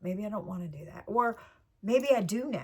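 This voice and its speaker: A somewhat breathy voice speaks at a fairly quick pace. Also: woman. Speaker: channel host, lifestyle vlogger. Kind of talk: casual monologue to viewers.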